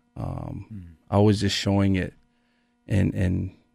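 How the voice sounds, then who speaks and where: Against a quiet background, a man with an American accent speaks at a fairly low pitch, the sound dry with no echo. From Utah, Salt Lake area; Utah. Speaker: former pro football player, recovery coach; radio guest. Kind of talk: personal testimony in radio interview. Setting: radio studio. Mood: reflective, candid about struggles. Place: studio. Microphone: studio mic.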